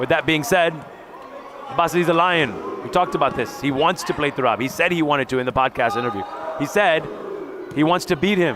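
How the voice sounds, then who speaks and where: A man with an American accent talks at a very fast pace and fairly high pitch, with lively intonation and an animated tone. Long, frequent pauses break up his speech over noticeable background noise. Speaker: volleyball color commentator. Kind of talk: live sports commentary.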